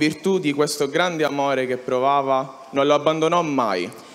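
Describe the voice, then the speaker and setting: This man talks at a moderate pace with a fairly high pitch and fairly even intonation. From Sicily, Catania; Sicily. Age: 20s. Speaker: young pilgrim giving testimony. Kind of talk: testimony. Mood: earnest, emotional. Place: stage. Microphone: handheld.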